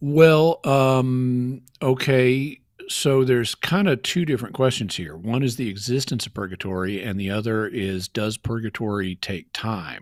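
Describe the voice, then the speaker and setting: A man talks at a fairly slow pace with a medium pitch. He leaves hardly any pauses. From Arkansas Ozarks, Fayetteville. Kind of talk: call-in Q&A, explaining.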